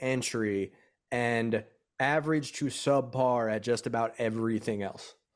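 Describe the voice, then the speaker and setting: A man with a normal speaking voice, at a fairly slow pace with ordinary pitch variation, on a very clean recording with a silent background. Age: 30s. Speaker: touring musician. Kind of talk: casual chat.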